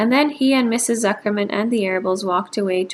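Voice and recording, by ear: The pitch shifts in an ordinary way while someone is reading aloud in a natural voice.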